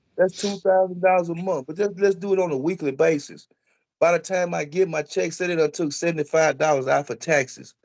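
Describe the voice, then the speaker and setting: A man with an American accent, high-pitched and fairly quick, his intonation fairly even over a quiet background. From Texas, Tyler. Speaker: police accountability activist. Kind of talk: interview.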